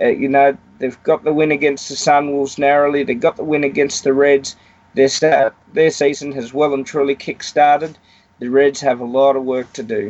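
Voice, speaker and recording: A man with an Australian accent, fairly high in pitch, at a moderate pace and with fairly even intonation, over noticeable background noise. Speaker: rugby pundit. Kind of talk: casual chat.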